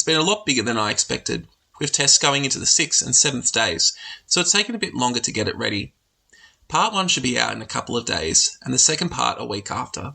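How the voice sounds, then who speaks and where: A man with an Australian accent, talking at a very fast pace. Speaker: podcast host, teacher. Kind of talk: scripted narration.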